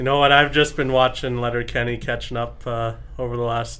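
The man's pitch is medium. He delivers his words in a flat, monotone way. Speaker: professional lacrosse goaltender. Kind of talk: casual sports chat. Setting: studio. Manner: soft-spoken.

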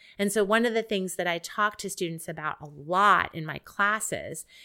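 A woman with an American accent speaks at a moderate pace in a bright, sharp tone. The recording is very clean, with a silent background. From Ohio, US Midwest. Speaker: psychology professor. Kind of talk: interview conversation.

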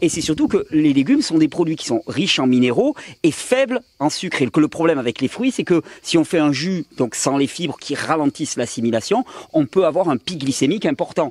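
Talking at a fairly quick pace with lively intonation, a man with a fairly high pitch is heard in a dry, close recording with no echo and noticeable background noise. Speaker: health video host. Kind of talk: casual chat. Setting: home with friends around table.

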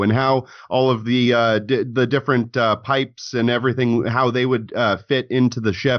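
At a moderate pace, a man talks in a medium pitch. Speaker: YouTube show host. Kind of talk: casual chat.

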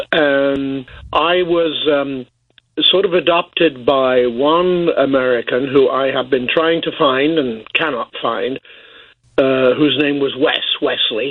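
A man with an English accent speaks at a very slow pace. His pitch is fairly high, his intonation fairly even. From England (Boston, Lincolnshire). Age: 70s. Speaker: cooperative historian. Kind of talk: radio interview. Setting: phone call.

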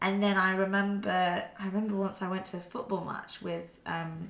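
A bright, sharp voice speaks in a flat monotone at a moderate pace. Room echo can be heard around it. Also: woman. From Wales. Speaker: actor and director. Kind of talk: casual chat.

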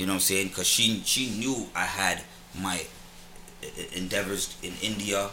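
Over noticeable background noise, a man speaks at a moderate pace with a fairly low pitch. His pitch varies in an ordinary way, and he takes long, frequent pauses. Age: 30s. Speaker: rapper. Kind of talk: casual chat, hip hop interview. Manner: laid-back, slangy.

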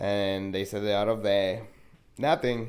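Speaking fairly slowly in a Spanish accent, a man keeps a fairly low pitch and a monotone, flat intonation. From Mexico. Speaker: podcast guest. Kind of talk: casual chat.

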